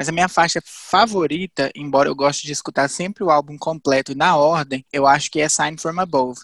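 In a dry, close sound with no echo and a very clean, silent background, a man with an unremarkable speaking voice talks fairly quickly at a fairly high pitch, with fairly even intonation and hardly any pauses. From Viçosa, Minas Gerais, Brazil. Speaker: geography student. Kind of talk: casual chat.

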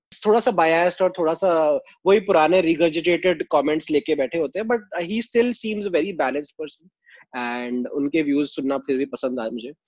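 Lively in intonation, a man speaks at a moderate pace with a high pitch. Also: hardly any pauses. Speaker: podcast co-host. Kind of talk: casual chat.

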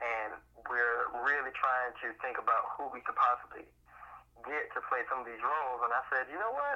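In an American accent, a man talks at a moderate pace in a normal speaking voice of medium pitch. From Miami, Florida (Miami Gardens). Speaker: actor, playwright and drama therapist. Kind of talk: casual interview.

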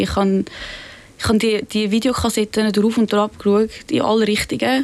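Fairly even in intonation, an ordinary speaking voice proceeds at a moderate pace. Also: woman. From Zurich, Switzerland. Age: young. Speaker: pop-art painter. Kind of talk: interview. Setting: studio.

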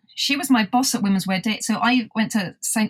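Speaking at a fairly quick pace, a woman sounds somewhat breathy, her intonation fairly even and the sound dry and close with no echo. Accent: British. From UK. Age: 50s. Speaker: podcast host and magazine founder. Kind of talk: interview.

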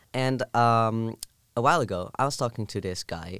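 A man with a Dutch accent speaks at a medium pitch with ordinary pitch variation. The recording is very clean and the background silent. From southern Netherlands. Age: 20s. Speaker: university student. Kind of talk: casual chat.

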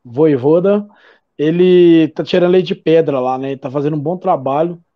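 At a moderate pace, a man with an unremarkable speaking voice talks in a fairly high pitch with fairly even intonation. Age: 40s. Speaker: football fan commentator. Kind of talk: casual chat.

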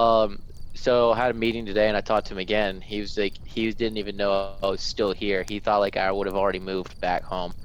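A man's fairly low voice at a very fast pace, in a monotone, flat intonation. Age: 20s. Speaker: podcast co-host, duck hunter. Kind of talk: casual chat.

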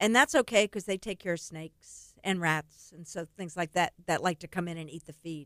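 A woman with a normal speaking voice and fairly low pitch talks at a moderate pace with hardly any pauses, her loudness swinging widely, in a dry, close sound with no echo. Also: ordinary pitch variation. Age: 60s. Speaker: charity run coordinator and former teacher. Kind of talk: radio interview. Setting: radio studio.

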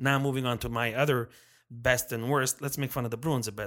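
A man speaks in an animated tone in a very clean recording with a silent background. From Montreal, Quebec. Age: 50s. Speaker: hockey podcast host. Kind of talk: casual chat. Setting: around a table with mics.

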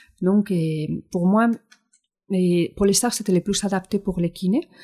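A woman speaks with a Spanish accent at a fairly slow pace, her dark, mellow tone somewhat breathy and her intonation fairly even. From Spain. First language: Spanish (speaking French). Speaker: physiotherapist and Pilates teacher. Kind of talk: interview. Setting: studio.

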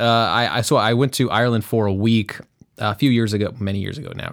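Speaking with an American accent, a man keeps his fairly low voice in fairly even intonation. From United States. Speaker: podcast co-host. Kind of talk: casual chat.

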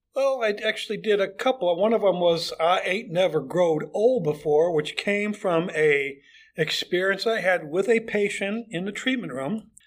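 An American man speaks at a moderate pace in a high voice with ordinary pitch variation and hardly any pauses. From Chicago area, US Midwest. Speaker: retired foot doctor, amateur improv actor. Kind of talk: casual interview.

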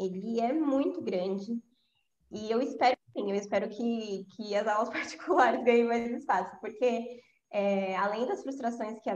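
A woman speaks in a plain, everyday voice at a moderate pace. Her pitch varies in an ordinary way. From São Paulo, east zone. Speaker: English teacher. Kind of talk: casual interview chat.

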